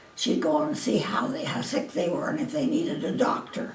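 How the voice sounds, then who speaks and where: A woman with an American accent speaks at a moderate pace, her pitch swinging very widely. Audible room echo and noticeable background noise surround her voice. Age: 80s+. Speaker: elderly interviewee. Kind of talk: oral history interview. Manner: halting.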